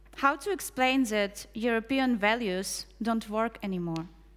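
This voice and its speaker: A woman with a Russian accent and a fairly high voice speaks at a fairly slow pace with ordinary pitch variation, on a very clean recording with a silent background. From Ukraine. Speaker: poet and translator. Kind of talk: spoken word performance.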